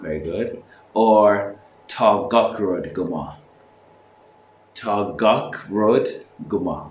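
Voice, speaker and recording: With an Irish accent, a man speaks at a very slow pace and a fairly low pitch, leaving long, frequent pauses. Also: ordinary pitch variation. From Ireland. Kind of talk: casual talk to camera.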